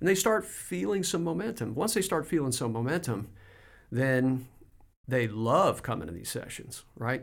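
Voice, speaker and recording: Vocal fry runs through a man's voice as it moves at a moderate pace. His pitch swings very widely. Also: medium pitch for a man. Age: 60s. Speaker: business coach. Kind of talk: casual interview conversation.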